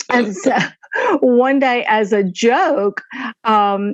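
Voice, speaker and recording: Her voice sits fairly high for a woman. The rise and fall of her pitch is ordinary. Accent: Alabama. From US South. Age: 60s. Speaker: retired nurse and author. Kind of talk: podcast interview.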